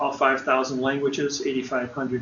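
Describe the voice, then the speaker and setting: Amid noticeable background noise, a man talks at medium pitch in a monotone, flat intonation. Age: 60s. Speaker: seminar presenter. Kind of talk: seminar talk.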